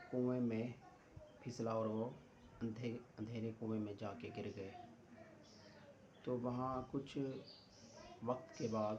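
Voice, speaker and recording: Against noticeable background noise, a man speaks at a medium pitch with monotone, flat intonation. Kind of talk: Islamic story narration. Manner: conversational, casual storytelling.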